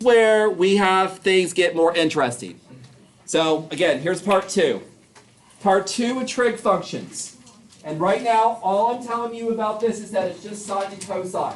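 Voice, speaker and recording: At a fairly slow pace, a man with a high pitch speaks with ordinary pitch variation over noticeable background noise. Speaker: math teacher. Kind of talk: classroom lecture.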